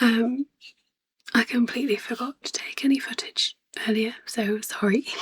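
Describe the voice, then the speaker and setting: Someone with a British accent talks at a moderate pace, leaving long, frequent pauses. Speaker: spinning vlogger. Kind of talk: casual vlog. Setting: at home at night. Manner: quiet, hesitant with ums.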